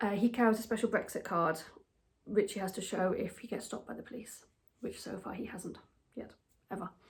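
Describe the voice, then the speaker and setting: Somewhat breathy and at medium pitch, a woman speaks at a fairly quick pace with fairly even intonation, broken by long, frequent pauses. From England, with childhood in Germany. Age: 40s. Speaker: expat vlogger. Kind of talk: casual monologue. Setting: at home.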